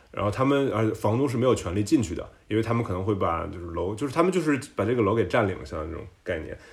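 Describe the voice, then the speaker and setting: A man with a medium-pitched, somewhat breathy voice races along at a very fast pace, using lively intonation and hardly any pauses. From China, Tianjin. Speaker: service designer. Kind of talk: casual chat. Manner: halting.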